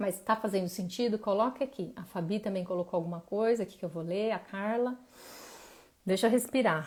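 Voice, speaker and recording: In an ordinary speaking voice, a woman talks at a fairly quick pace with medium pitch and ordinary pitch variation. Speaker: emotional wellness coach. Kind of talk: live stream talk.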